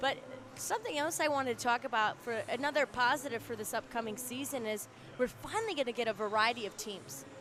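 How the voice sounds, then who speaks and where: A woman speaks loudly at a very fast pace in a high voice with ordinary pitch variation. Noticeable background noise is present. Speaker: student sports commentator. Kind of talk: live sports commentary.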